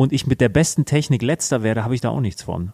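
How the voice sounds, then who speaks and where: A man with a normal speaking voice and lively intonation talks at a fairly quick pace in a dry, close sound with no echo. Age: 20s. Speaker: finance podcast co-host. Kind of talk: casual chat.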